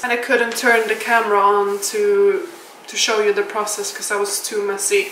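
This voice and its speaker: A woman at medium pitch talks with a Swedish accent. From Sweden. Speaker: home cook and vlogger. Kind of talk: cooking vlog voiceover. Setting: home kitchen. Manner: casual, conversational.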